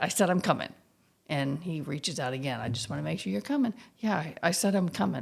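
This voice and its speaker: Very fast and full of vocal fry, a woman's very deep, low voice leaps through very wide pitch swings on a very clean recording with a silent background. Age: 60s. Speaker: gym client. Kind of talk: casual interview.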